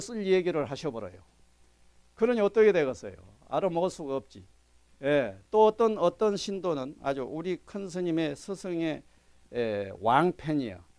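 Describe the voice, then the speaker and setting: A man with a Jeolla accent speaks at a high pitch. His pitch swings very widely at a moderate pace. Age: old. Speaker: meditation teacher. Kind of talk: lecture.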